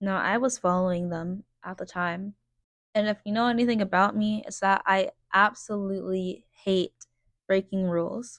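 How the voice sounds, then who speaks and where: In a quiet, dry, close recording with no echo, a woman speaks at a moderate pace and medium pitch with fairly even intonation. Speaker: vlogger. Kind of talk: personal storytelling vlog. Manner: quiet, reserved.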